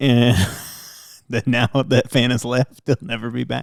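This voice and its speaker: With an American accent, this voice carries vocal fry and moves at a fairly slow pace. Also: man. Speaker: podcast co-host with his wife. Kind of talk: casual chat. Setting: home recording late at night.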